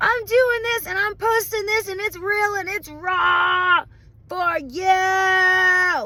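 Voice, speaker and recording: Amid noticeable background noise, a woman with an extremely high pitch speaks in a raised, projected voice with lively intonation. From New Orleans area, Louisiana. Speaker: motivational vlogger. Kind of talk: motivational monologue. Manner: loud.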